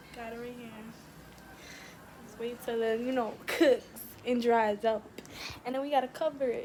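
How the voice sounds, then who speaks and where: Over noticeable background noise, a woman with an American accent speaks at a moderate pace and high pitch, her intonation monotone and flat, her loudness swinging widely, and her long pauses frequent. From New York. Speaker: student vlogger. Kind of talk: cooking tutorial.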